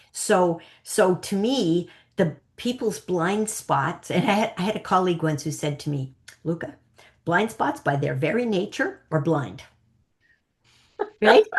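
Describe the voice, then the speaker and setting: Somewhat breathy and with a Canadian accent, a woman speaks at a fairly slow pace in an animated tone, using lively intonation and long, frequent pauses. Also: medium pitch for a woman. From Canada. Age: 60s. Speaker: psychic coach. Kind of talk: interview.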